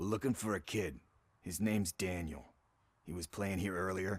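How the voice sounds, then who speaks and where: In a put-on character voice, a man sounds raspy with a very deep, low pitch. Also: moderate pace. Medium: video game. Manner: casual, quippy.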